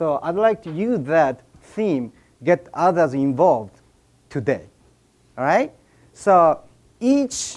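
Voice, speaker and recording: A man's fairly high voice with a Japanese accent, very slow pace, very wide pitch swings, and a very clean recording over a silent background. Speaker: business speaker. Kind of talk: seminar speech. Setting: stage with audience. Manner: halting.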